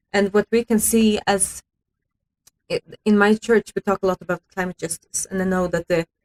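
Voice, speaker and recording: A woman with a Swedish accent, moderate pace and monotone, flat intonation, in a dry, close sound with no echo. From Sweden. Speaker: youth climate activist. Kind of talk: radio interview. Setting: radio studio. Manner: hesitant with fillers.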